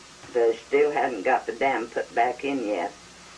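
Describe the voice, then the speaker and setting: Background noise is noticeable as a woman speaks. Her pitch is very deep and low, and her pace fairly slow. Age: 80s+. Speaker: storyteller. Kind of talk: oral history.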